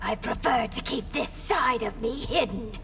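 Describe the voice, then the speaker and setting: Over clear background noise, a woman does a put-on character voice at a high pitch. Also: moderate pace. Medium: short film. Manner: regal, commanding.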